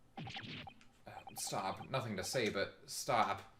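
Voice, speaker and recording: A put-on character voice rumbles at a low-to-middle pitch and a very slow pace. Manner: grumbling, terse.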